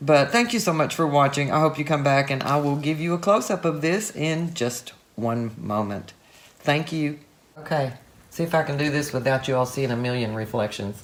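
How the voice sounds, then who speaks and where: Against noticeable background noise, the speaker uses a relaxed tone and lively intonation at a moderate pace. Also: woman, very deep, low pitch for a woman. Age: 60s. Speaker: art tutorial youtuber. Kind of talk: casual video commentary. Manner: relaxed, chatty.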